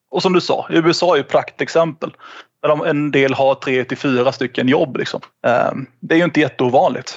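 An ordinary speaking voice from a man, fairly high in pitch, at a moderate pace with fairly even intonation. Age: 30s. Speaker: trade union representative. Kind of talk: explanatory interview.

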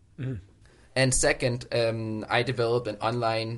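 A man with a Danish accent speaks against a quiet background. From Denmark. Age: 30s. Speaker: obstacle course racer. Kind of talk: casual interview chat. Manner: casual, swears often.

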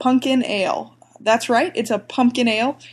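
With an American accent, a woman speaks at a moderate pace in a high pitch. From US South, Atlanta. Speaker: beer reviewer. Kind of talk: product review. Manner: many filler pauses.

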